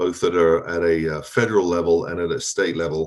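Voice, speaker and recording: A man speaks with an English accent. His pitch is very deep and low. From England. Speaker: privacy compliance speaker. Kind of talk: conference presentation. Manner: hesitant, many fillers.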